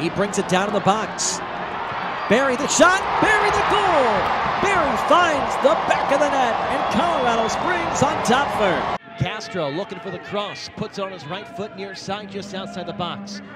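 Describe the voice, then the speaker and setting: A man speaks at a moderate pace in a high pitch, with very wide pitch swings. His loudness swings a lot, and there is noticeable background noise. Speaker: soccer play-by-play commentator. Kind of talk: live sports commentary, demo reel of college soccer play-by-play. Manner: excitable on goals, drops into calmer analysis between plays.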